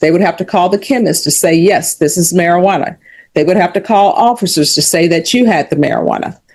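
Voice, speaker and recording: A woman's fairly low voice with lively intonation. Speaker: judge. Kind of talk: court hearing. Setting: courtroom. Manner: fast; formal.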